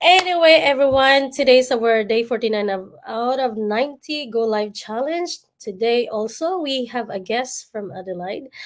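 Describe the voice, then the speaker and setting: This woman has a Visayan Filipino accent and a high pitch. She speaks at a fairly slow pace with lively intonation. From Philippines, Visayas (Bisaya). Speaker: livestream host, nurse and online business mentor. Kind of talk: livestream chat.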